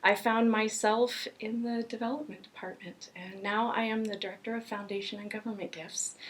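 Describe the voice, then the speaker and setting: With an American accent and a normal speaking voice, a woman talks at a moderate pace with fairly high pitch, fairly even intonation, big swings in loudness, and hardly any pauses. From Florida, Miami. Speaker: arts fundraiser and violinist. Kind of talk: casual interview. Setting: backstage. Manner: many fillers (um).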